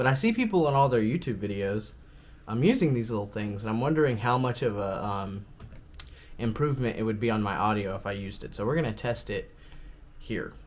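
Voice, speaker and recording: Mumbling at a fairly quick pace, a man speaks at a medium pitch with ordinary pitch variation amid audible room echo. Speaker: vlogger. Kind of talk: casual vlog talk.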